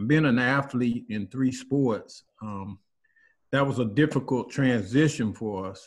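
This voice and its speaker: A man at a fairly slow pace and medium pitch, ordinary pitch variation, with big swings in loudness. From US South, North Carolina (New Bern). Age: 60s. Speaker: community group participant. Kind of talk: personal testimony in group video call. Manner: halting, many fillers and repetitions.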